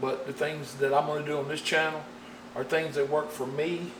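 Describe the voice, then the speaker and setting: Fairly slow speech from a man amid audible room echo and noticeable background noise. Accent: strong Southern US. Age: 50s. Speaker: painting instructor. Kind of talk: tutorial. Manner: folksy.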